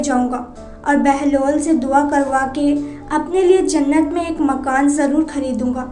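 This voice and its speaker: A woman's high pitch in monotone, flat intonation, with music in the background. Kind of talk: religious story narration.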